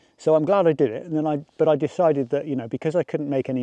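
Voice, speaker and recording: This man has a dark, mellow tone and an English accent, recorded with a dry, close sound and no echo. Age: 60s. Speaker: landscape photographer and vlogger. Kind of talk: casual vlog tutorial.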